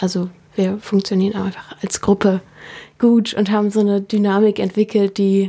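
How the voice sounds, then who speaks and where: A woman speaks at a medium pitch and a moderate pace. Her tone is dark and mellow, her intonation monotone and flat. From Berlin, Germany. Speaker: singer-songwriter. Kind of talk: interview. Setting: radio studio.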